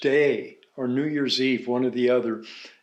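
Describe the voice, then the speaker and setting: The intonation stays fairly even while some room echo can be heard. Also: man. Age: 70s. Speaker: organic farmer and sustainable agriculture pioneer. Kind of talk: casual chat. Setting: kitchen table at home.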